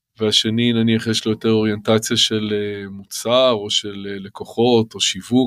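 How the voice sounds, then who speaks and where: At a moderate pace, a man speaks at a medium pitch with monotone, flat intonation in a very clean recording with a silent background. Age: 50s. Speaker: startup finance executive. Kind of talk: interview. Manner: hesitant with fillers.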